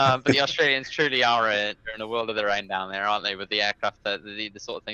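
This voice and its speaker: A man with a British accent speaks very fast in a medium pitch, his tone bright and sharp. The sound is dry and close with no echo, and his pitch varies in an ordinary way. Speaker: podcast co-host. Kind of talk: casual chat.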